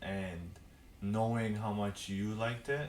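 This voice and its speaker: A man with a non-native accent speaks at a fairly low pitch. His pitch variation is ordinary, over noticeable background noise. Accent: foreign. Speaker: podcast co-host. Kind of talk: casual chat.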